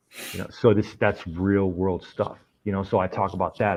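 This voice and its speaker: This man talks at a fairly quick pace with an American accent, in an ordinary speaking voice with fairly low pitch. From Springfield, Massachusetts. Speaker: army veteran, computer forensics investigator. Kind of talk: casual chat.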